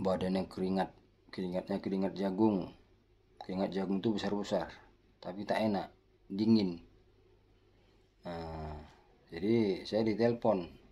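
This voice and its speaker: Speaking at a moderate pace with long, frequent pauses, a man has a very deep, low pitch and a dark, mellow tone. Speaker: health tips vlogger. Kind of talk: casual health tutorial with anecdote. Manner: somewhat loud, forceful.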